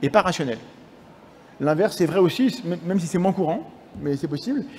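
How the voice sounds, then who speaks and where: A man's high-pitched voice, dark and mellow in tone, at a fairly quick pace broken by long, frequent pauses. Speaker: science communicator and lecturer. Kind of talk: conference lecture. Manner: halting; fast.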